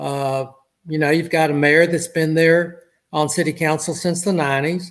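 Over a very clean recording with a silent background, a man with an American accent speaks in a monotone, flat intonation at a fairly slow pace. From Southeast Texas (Port Arthur). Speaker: city council member, retired lawyer. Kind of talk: interview.

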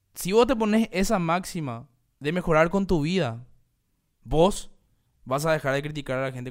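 This man's voice sits high in pitch. His intonation moves in a lively way. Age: 30s. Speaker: podcast host. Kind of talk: solo monologue podcast. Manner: casual, halting with fillers.

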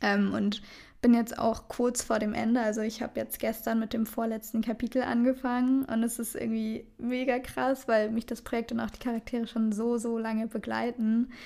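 Very clean and silent in the background, the recording carries a woman's fairly high-pitched voice. She speaks at a moderate pace in a flat, monotone intonation. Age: 20s. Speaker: podcast co-host, student. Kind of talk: casual chat. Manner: laughing often.

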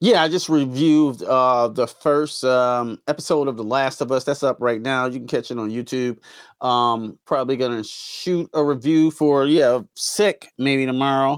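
In an ordinary speaking voice, a man at a medium pitch talks at a moderate pace with fairly even intonation and hardly any pauses, in a very clean recording against a silent background. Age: 40s. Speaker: CGI artist and podcast co-host. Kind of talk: casual chat.

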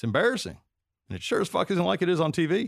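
A very fast-talking man with a slight Southern US accent and very wide pitch swings, on a very clean recording with a silent background. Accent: mild Southern US. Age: 40s. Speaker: podcast host. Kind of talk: comedic monologue and interview. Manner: joking, irreverent.

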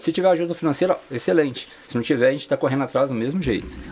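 A man talks at a very fast pace with ordinary pitch variation. Noticeable background noise can be heard. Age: 40s. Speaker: personal trainer and amateur sports organizer. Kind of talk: interview. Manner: halting, many fillers.

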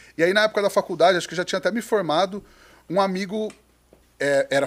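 A man's high voice at a very fast pace, with ordinary pitch variation, in a very clean recording with a silent background. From interior of São Paulo state, Brazil (Penápolis). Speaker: restaurant owner and podcaster. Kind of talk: casual chat.

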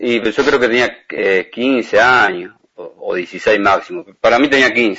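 A man speaks at a very slow pace. He leaves hardly any pauses. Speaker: former footballer. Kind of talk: interview.

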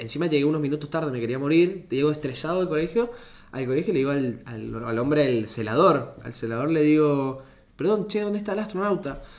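A man with a fairly high pitch moves through very wide pitch swings. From Argentina, Mendoza. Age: 20s. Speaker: engineering student and startup founder. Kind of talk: casual chat.

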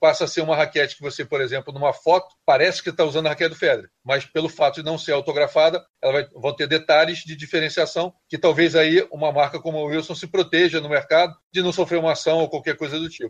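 The speech runs at a very fast pace in a flat monotone. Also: man. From Niterói, Rio de Janeiro, Brazil. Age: 50s. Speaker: tennis coach and TV commentator. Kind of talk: casual interview.

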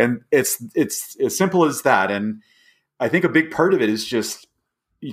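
A man with an American accent at a moderate pace, with very wide pitch swings, in a very clean recording with a silent background. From Southern California. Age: 60s. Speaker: hiking blogger and outdoor community leader. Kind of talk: interview conversation.

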